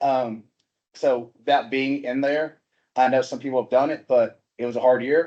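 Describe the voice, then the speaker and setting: This man talks in a Southern US accent. His voice sits at a medium pitch. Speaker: habitat project coordinator. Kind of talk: informal presentation at a meeting. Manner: casual, conversational.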